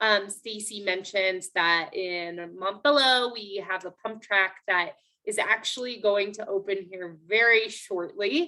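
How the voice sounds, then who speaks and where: Speaking at a fairly slow pace with hardly any pauses, a woman in an unremarkable speaking voice keeps a medium pitch, her pitch varying an ordinary amount while her loudness swings widely. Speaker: city parks planner presenting at public meeting. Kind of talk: public meeting presentation. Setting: video call. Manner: many filler words, um.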